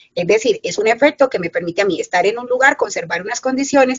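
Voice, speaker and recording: With very wide pitch swings, the woman's voice stays high in pitch. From Colombian Caribbean coast, Caucasia (Antioquia). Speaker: environmental engineering professor. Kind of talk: lecture. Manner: fast.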